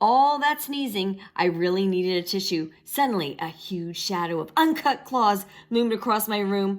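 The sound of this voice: Someone reads in an unforced reading voice, the intonation lively throughout.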